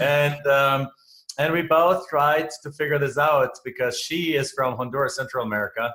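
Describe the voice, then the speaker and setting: Speaking with a German accent, a man has a bright, sharp tone. His pace is moderate and his intonation fairly even. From Germany. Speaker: real estate investor. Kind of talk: interview.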